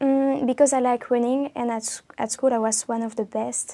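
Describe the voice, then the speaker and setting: A woman's fairly high yet dark, mellow voice, monotone and flat, on a very clean recording with a silent background. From Belgium. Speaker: exam candidate. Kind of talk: oral exam interview. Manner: hesitant.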